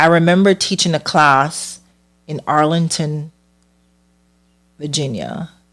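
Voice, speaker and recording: A woman with a Caribbean accent has a very deep, low pitch and fairly even intonation. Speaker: hairstylist and podcast host. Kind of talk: personal storytelling.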